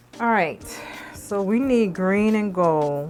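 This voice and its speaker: Faint music plays in the background as a woman speaks at a medium pitch. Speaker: beauty vlogger. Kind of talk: makeup tutorial. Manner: casual, chatty; voice lowers when concentrating. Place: home room.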